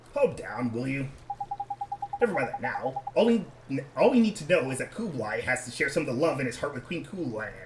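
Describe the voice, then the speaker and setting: A put-on character voice at a fairly quick pace, broken by long, frequent pauses, over clear background noise. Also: man, fairly high pitch for a man. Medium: game stream. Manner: breezy, cheeky.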